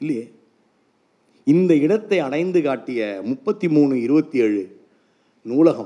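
With lively intonation, a man speaks at a fairly high pitch in a dark, mellow tone. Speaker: writer and speaker on reading. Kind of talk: public speech. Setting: stage with audience. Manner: formal, oratorical.

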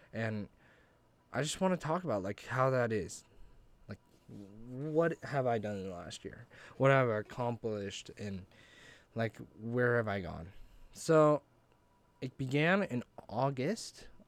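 A man with an American accent speaks at medium pitch and a fairly slow pace. His loudness swings widely, with long, frequent pauses. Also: lively intonation. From Idaho, US. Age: young. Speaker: college student podcaster. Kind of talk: casual solo monologue. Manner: halting, many fillers.

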